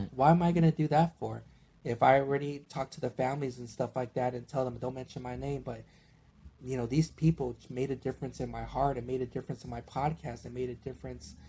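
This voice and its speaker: A man with an American accent talks very fast, his loudness swinging widely. His tone is dark and mellow, and somewhat breathy. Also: medium pitch for a man, fairly even intonation. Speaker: podcaster. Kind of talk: casual chat.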